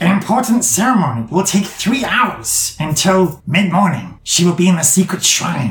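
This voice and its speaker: In a put-on character voice at a middle pitch, the speaker talks at a moderate pace with a slight echo. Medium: actual play. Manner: clipped, broken phrasing.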